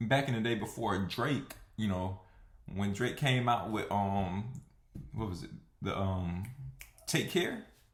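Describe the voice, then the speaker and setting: Audible room echo surrounds a man with an American accent and a fairly low pitch. He speaks at a fairly slow pace and sounds somewhat breathy. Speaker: vlogger. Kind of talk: casual monologue. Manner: hesitant, many fillers.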